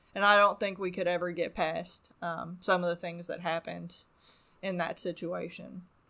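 A woman with an American accent speaks with vocal fry, a bright, sharp tone, a fairly low pitch and monotone, flat intonation. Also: moderate pace. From Arizona. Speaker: addiction recovery worker. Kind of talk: personal testimony. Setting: home woodshop studio.

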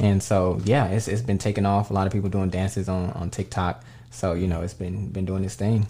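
A man with a very deep, low pitch and a dark, mellow, somewhat breathy tone speaks at a fairly quick pace with ordinary pitch variation. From Dallas, Texas. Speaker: musician. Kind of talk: casual chat. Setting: studio.

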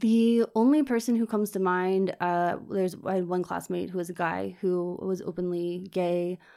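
A woman with a Virginia accent talks at a moderate pace with hardly any pauses, at medium pitch with ordinary pitch variation. The recording is very clean with a silent background. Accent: American (Virginia). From US, Virginia (Richmond suburbs). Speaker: interviewee, immigrant. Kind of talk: interview.

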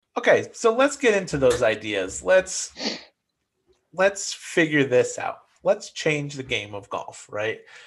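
Against a quiet background, a man speaks fairly slowly, his loudness swinging widely. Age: 30s. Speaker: golf podcast co-host. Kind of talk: casual chat.

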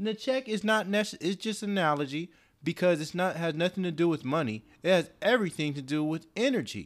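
On a very clean recording with a silent background, a man with a high-pitched voice talks at a fairly quick pace with lively intonation. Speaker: guest. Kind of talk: casual conversation. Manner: soft-spoken.

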